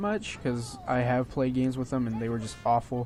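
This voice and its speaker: Against noticeable background noise, a man speaks in a medium pitch at a fairly quick pace. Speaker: gaming video creator. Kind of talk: gameplay commentary. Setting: home at midnight. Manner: soft-spoken; hesitant, many fillers.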